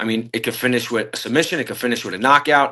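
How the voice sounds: The speech moves at a very fast pace, with a bright, sharp tone and ordinary pitch variation. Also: man, medium pitch for a man.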